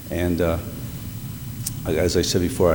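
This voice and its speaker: A man's very deep, low voice at a moderate pace, with audible room echo and noticeable background noise. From northeastern Pennsylvania, Scranton. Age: 60s. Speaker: retired teacher, mayoral applicant. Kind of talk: public interview. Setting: city council meeting. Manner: halting.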